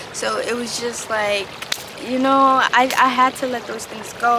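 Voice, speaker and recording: A woman speaks fairly slowly in a high voice with fairly even intonation, with audible room echo and noticeable background noise. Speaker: spiritual vlogger. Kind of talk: personal vlog monologue.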